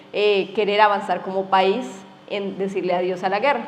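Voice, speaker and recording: Noticeable noise fills the background. Over it, a woman keeps a moderate tempo. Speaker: event moderator. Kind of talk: panel moderation.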